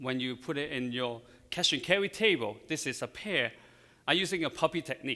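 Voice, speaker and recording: A man with a Chinese accent talks at a moderate pace in a bright, sharp tone, using ordinary pitch variation. The recording is very clean, with a silent background. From China. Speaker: floral designer. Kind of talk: live demonstration. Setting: stage with audience.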